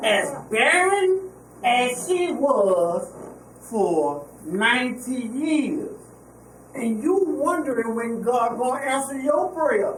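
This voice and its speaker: A woman speaks at a very slow pace in a high pitch with very wide pitch swings, amid noticeable background noise and audible room echo. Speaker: pastor. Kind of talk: sermon. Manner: animated.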